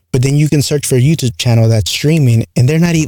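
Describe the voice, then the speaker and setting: With a dark, mellow tone and ordinary pitch variation, a man sounds somewhat breathy. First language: not English. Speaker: podcaster and former streamer. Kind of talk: solo casual monologue. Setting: home studio with XLR microphone. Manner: rambling, filler-heavy; loose enunciation.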